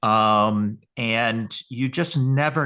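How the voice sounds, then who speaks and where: A man with an American accent speaks in a bright, sharp tone with ordinary pitch variation against a quiet background. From Western New York. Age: 60s. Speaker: research company CEO. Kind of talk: webinar interview. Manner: halting, many repetitions.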